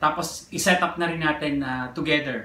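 A man's moderate-paced speech carries audible room echo, with light noise in the background. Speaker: vlogger. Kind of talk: casual vlog chat. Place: home room. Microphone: phone near.

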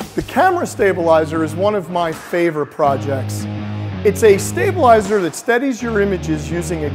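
A man at a moderate pace with clear music in the background. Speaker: maker show host. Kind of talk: tutorial. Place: workshop. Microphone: lapel.

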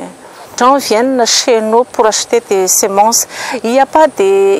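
Light background noise sits behind a woman speaking at a fairly slow pace with ordinary pitch variation, the sound dry and without echo. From Madagascar. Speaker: seed production business manager. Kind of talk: interview testimony. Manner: halting. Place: garden.

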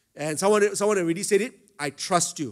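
A man's speech proceeds at a moderate pace, carried by lively intonation. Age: 50s. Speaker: pastor. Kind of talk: sermon. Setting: stage with audience.

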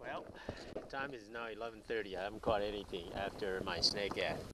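The voice moves at a moderate pace with ordinary pitch variation, in a dry sound with no echo over noticeable background noise. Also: man. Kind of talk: casual fishing vlog commentary. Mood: pleased, relieved. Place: boat. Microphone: phone near.

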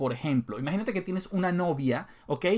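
A man speaks at a moderate pace with a high pitch. His intonation is lively, and the background is quiet. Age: 30s. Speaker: gaming YouTuber; gaming video creator. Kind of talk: casual monologue to viewers. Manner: conversational, with fillers. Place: home room.

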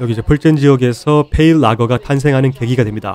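A man talks at a very fast pace in a medium pitch with ordinary pitch variation. Music plays in the background. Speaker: beer vlogger. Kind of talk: vlog narration.

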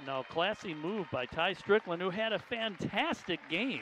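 On a dry sound with no echo, a man talks in a high pitch over light background noise. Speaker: color commentator. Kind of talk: live sports commentary. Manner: animated, upbeat. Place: stadium.

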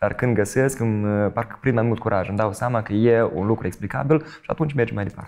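A man talks very fast at a medium pitch. His pitch varies in an ordinary way, with a quiet background. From Moldova. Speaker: stage actor and TV presenter; stage actor, TV presenter. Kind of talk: interview. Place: studio.

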